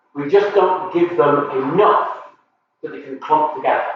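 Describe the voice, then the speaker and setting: A man shouts at a moderate pace, with audible echo from the room. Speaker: science educator running a workshop. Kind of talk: live workshop lecture. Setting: live stream from workshop. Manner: loud, shouting to be heard.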